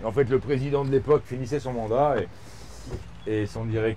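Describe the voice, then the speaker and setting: Ordinary pitch variation marks an unremarkable speaking voice that moves at a fairly quick pace. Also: man. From eastern France, Bourg-en-Bresse area. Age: 50s. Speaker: golf club director. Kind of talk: casual interview during a golf round. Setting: outdoors on golf course.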